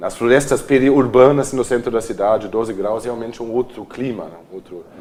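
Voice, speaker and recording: A man's medium-pitched voice proceeds at a moderate speed. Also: fairly even intonation, big swings in loudness. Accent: German. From Germany, Cologne. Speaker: architect and urban planner. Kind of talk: TV interview.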